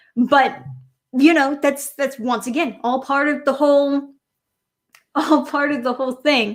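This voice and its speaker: In a New York accent, a woman with a high pitch speaks in an animated tone. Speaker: streamer. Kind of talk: casual livestream rant.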